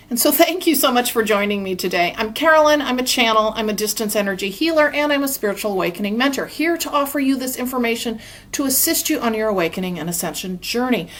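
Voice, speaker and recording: Words rush out at a very fast pace with hardly any pauses, over noticeable background noise. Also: woman, fairly high pitch for a woman, lively intonation. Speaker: spiritual channel and energy healer. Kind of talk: monologue to camera. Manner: fast when channeling; chatty, informal.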